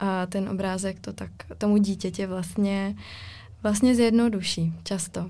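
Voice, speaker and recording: Speaking at a very slow pace, a woman uses a dark, mellow, somewhat breathy voice with monotone, flat intonation and big swings in loudness. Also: medium pitch for a woman. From Ostrava, Czech Republic. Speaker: illustrator. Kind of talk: casual chat.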